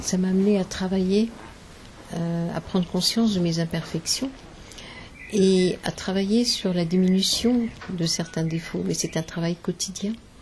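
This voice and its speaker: Over noticeable background noise, a woman talks at a fairly slow pace, pausing long and often. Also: medium pitch for a woman, fairly even intonation. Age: 60s. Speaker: spiritist medium. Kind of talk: interview. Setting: symposium. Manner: hesitant, many fillers.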